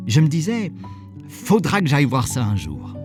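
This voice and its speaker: Over music in the background, a man talks at a moderate pace while his pitch swings very widely. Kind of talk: short story narration, first person. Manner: conversational, humorous.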